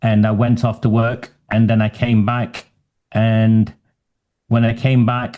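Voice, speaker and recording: With a Lancashire accent, a man with a medium pitch and a dark, mellow tone speaks at a very slow pace in a monotone, flat intonation, with long, frequent pauses and very even loudness. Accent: northern English (Lancashire). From northwest England, Oldham. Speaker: human rights advocate. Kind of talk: interview.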